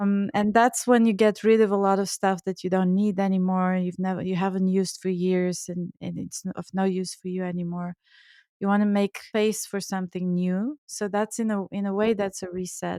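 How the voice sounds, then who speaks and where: A woman's medium-pitched voice in a Bulgarian accent, dark and mellow in tone, with monotone, flat intonation, in a very clean recording with a silent background. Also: moderate pace, dry, close sound with no echo. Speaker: Ayurvedic chef and author. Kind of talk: podcast interview. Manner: halting, repeats words.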